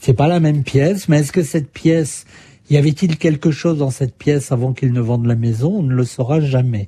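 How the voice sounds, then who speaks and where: The voice is somewhat breathy, with a dark, mellow tone and ordinary pitch variation. It moves at a fairly quick pace. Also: man, fairly high pitch for a man. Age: 60s. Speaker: journalist and author. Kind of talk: interview. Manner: hesitant, with fillers.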